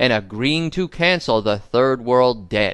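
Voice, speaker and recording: Speaking very slowly, a man talks. He has an American accent. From US Northeast, Long Island, New York. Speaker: political podcast host. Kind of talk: political commentary monologue.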